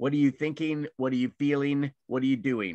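With a quiet background, a man is speaking. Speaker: class instructor. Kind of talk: lecture. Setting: video call. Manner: halting. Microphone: video call.

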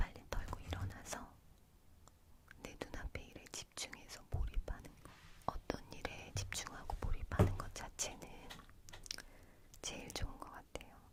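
A woman whispers at a fairly slow pace. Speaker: ASMR creator. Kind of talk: whispered ASMR chat to camera. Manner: soft, whispering, intimate.

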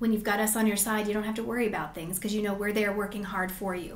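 Very fast speech from a woman at medium pitch, with audible room echo and light background noise. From Colorado mountains (Grand Lake); Colorado. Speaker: lawyer and business owner; lawyer. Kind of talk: interview. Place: meeting room.

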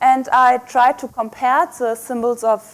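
A woman with a German accent and a high-pitched voice speaks at a fairly slow pace. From Germany. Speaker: microbiology researcher; guest lecturer. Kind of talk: lecture. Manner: hesitant with fillers. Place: hall.

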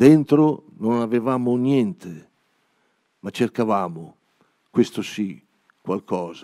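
Against a quiet background, a man with a dark, mellow tone and medium pitch speaks at a very slow pace with lively intonation and long, frequent pauses. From Emilia-Romagna, Cesenatico; Emilia-Romagna. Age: 70s. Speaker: poet. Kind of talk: poetry reading. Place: stage. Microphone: handheld.

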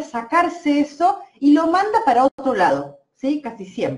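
Her pitch is high, with very wide pitch swings. The woman keeps a fairly slow pace. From Argentina, Santa Fe province. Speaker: energy healer and therapist. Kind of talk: live-stream energy healing session. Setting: Facebook live stream. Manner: hesitant, many fillers.

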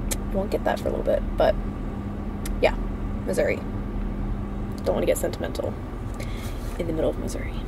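Against loud background noise, a woman talks at a very fast pace. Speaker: vlogger. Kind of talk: casual vlog chat. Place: car. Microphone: phone near.

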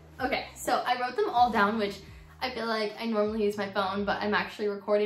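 A woman speaks with ordinary pitch variation and audible room echo. Faint music plays in the background. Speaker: pet vlogger. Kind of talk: casual vlog chat. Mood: warm, cheerful. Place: home room. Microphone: phone near.

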